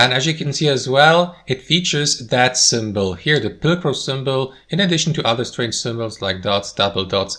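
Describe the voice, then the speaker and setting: A man with a non-native accent speaks at a moderate pace with hardly any pauses, medium in pitch with lively intonation. His tone is bright and sharp, on a very clean recording with a silent background. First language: not English. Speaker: tech tutorial creator. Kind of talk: tutorial. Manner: casual, conversational.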